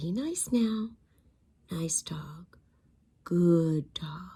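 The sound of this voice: Someone uses a put-on character voice with a gentle, soothing tone. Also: woman, fairly low pitch for a woman.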